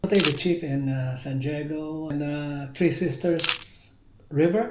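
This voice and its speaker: A man with a fairly high pitch talks at a very slow pace with fairly even intonation. Noticeable background noise is present. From Philippines. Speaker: navy veteran. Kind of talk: interview answer.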